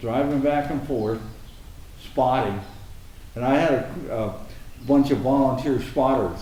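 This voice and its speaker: A man with an American accent, medium-pitched, at a moderate pace, fairly even in intonation, with audible room echo. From Arizona, US. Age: 70s. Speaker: anti-graffiti volunteer, retired engineer. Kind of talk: interview conversation. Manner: halting.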